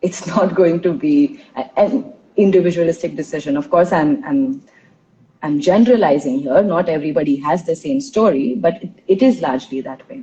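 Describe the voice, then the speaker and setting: A woman with a fairly low, dark and mellow voice, somewhat breathy, whose pitch swings very widely and loudness rises and falls sharply at a moderate pace. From India, Tulu-speaking Karnataka. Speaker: intercultural trainer, podcast host. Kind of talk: casual interview conversation. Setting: live stream.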